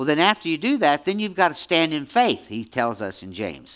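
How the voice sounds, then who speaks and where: The tone is bright and sharp, with very wide pitch swings at a moderate pace. The recording is very clean, with a silent background. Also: man. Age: 70s. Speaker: pastor. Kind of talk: sermon. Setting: church. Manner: halting, repeats words.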